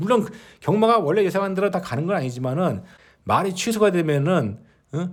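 Very clean and silent in the background, the recording holds a man speaking at a very fast pace. His tone is animated and his intonation lively. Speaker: horse racing betting commentator. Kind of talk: opinion monologue.

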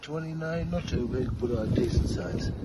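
A man speaks at a moderate pace with a fairly high pitch and ordinary pitch variation. Background noise is clearly audible.

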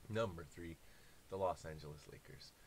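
Light background noise runs under a man's somewhat breathy voice. His pitch varies in an ordinary way. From Canada. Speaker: YouTuber; sports content creator. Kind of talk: casual monologue. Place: home room. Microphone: webcam.

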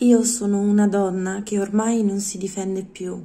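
A woman's somewhat breathy voice at a very slow pace, monotone and flat in intonation. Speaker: poetry reader. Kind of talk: poetry reading aloud. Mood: calm, expressive, intimate. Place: home room. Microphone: phone near.

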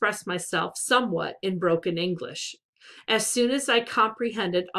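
Quiet surroundings, ordinary pitch variation, and reading aloud in a natural voice

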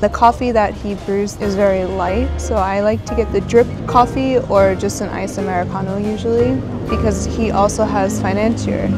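Clear music plays in the background as a woman talks at a moderate pace in a dry sound with no echo. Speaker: travel vlogger. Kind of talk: casual vlog chat. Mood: relaxed, playful. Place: waterside. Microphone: phone near.

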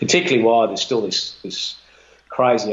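A man with an Australian accent, talking at a very fast pace. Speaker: retired fund manager; guest. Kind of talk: interview. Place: home room.

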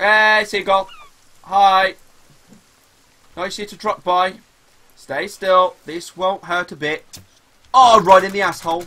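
Very slow, raised, projected voice of a man with high pitch, big swings in loudness and long, frequent pauses. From West Midlands. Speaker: gaming streamer. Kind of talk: live gameplay stream chat. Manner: animated. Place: home room.

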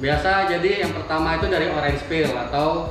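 Over clear background music, a man talks with fairly even intonation, and audible room echo surrounds his voice. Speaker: wrap shop owner explaining to host. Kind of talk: interview answer. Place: shop.

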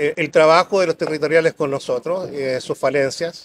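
Fairly high male voice over light background noise. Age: 60s. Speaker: local council candidate; council candidate. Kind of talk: public debate. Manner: halting, many fillers. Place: garden. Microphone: lapel.

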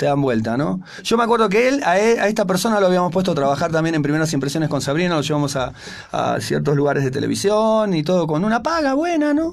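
Delivered with lively intonation, the words come out at a very fast pace. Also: man, high pitch for a man. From Argentina. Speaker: rock musician; guest. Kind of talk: radio interview. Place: studio. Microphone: studio mic.

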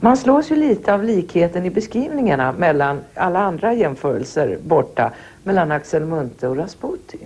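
At a medium speed, a woman talks with very wide swings in pitch. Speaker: interviewer. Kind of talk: interview. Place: home room. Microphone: lapel.

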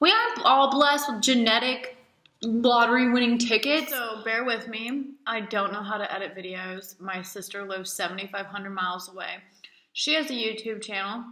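A woman with an American accent speaks in a fairly high pitch, her loudness swinging widely amid audible room echo. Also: ordinary pitch variation, moderate pace. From Alaska. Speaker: model and vlogger. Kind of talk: casual vlog monologue. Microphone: poor quality camera.

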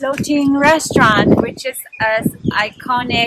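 Over loud background noise, a woman speaks at a very slow pace in a dry sound with no echo. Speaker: travel vlogger. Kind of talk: casual vlog chat. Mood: cheerful, chatty. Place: waterside. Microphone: phone near.

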